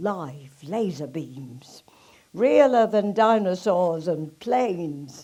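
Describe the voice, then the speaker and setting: Very wide pitch swings from a woman with a medium-pitched voice, at a very slow pace. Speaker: actress. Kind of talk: poetry reading.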